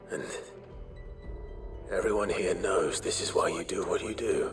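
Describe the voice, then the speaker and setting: A man's put-on character voice at a moderate pace, with clear music in the background. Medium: game stream.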